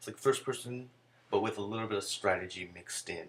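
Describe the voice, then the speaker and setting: A soft-spoken man talks with fairly even intonation. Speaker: video game reviewer. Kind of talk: game review. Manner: soft-spoken, speaking low. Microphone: too quiet.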